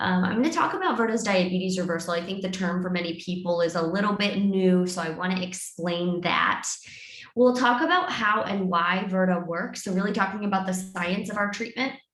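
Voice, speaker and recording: Fairly quick speech from a woman at medium pitch, with audible room echo and noticeable background noise. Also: fairly even intonation. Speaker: clinical research scientist and dietitian. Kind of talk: webinar presentation. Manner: fast.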